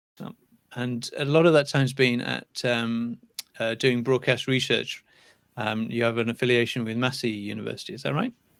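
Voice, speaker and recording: A man with a British accent talks at a moderate pace in a medium pitch, with ordinary pitch variation. His loudness swings widely. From UK. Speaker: channel host, interviewer. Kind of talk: interview.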